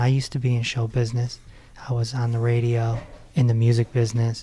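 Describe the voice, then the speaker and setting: A man speaks at a very fast pace. His tone is dark and mellow, somewhat breathy. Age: 40s. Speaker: meditation podcast host, former radio personality. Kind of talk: podcast interview.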